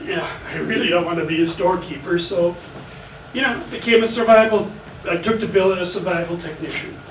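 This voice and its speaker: A man's high voice at a fairly quick pace with ordinary pitch variation, set against noticeable background noise and audible room echo. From Germany, then rural Minnesota from age 10. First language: German. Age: 70s. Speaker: army veteran. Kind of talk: personal storytelling. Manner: casual with frequent fillers.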